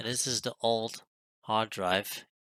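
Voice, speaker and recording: The voice mumbles in a bright, sharp tone. The sound is dry and close with no echo. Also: man. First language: not French; non-native English speaker. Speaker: retro computer hobbyist youtuber. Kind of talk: tutorial. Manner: mumbling.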